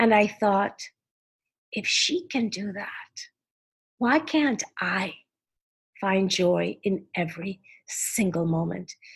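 Speaking at a very slow pace with long, frequent pauses, a woman uses a somewhat breathy, medium-pitched voice with lively intonation. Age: 60s. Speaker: philanthropist and advocate. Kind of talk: interview conversation.

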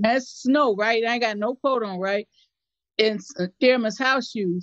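This woman's fairly high voice shows ordinary pitch variation. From West Side of Chicago. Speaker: activist. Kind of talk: interview testimony.

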